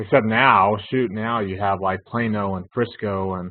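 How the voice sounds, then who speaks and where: With a slight Texas accent, a man speaks in a fairly low pitch and flat, monotone intonation. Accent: Texas drawl, slight. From North Texas (Denton). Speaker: finance instructor. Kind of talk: online class lecture. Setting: live webinar with chat. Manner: casual, conversational with fillers.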